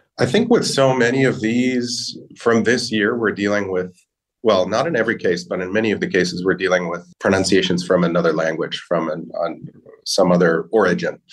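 Here is a man with an American accent. His pitch is fairly low and his pace fairly quick. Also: ordinary pitch variation. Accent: American, rhotic. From US. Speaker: language learning company linguist. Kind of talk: interview.

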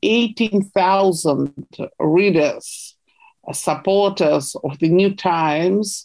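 A woman with a Russian accent speaks at a very slow pace. Her pitch is medium, with ordinary variation. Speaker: investigative journalist. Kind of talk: interview.

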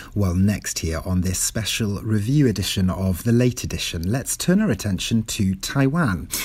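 Speaking with a Welsh accent, a man uses lively intonation and a fairly low pitch. He keeps a moderate pace, sounds somewhat breathy and hardly pauses. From Wales. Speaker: radio host. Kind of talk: radio discussion programme. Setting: studio.

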